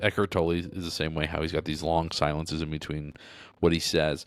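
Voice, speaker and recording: There is music in the background as a man speaks. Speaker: spiritual philosophy YouTuber. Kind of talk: unscripted commentary. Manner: halting, with stutters, pauses and fillers; casual.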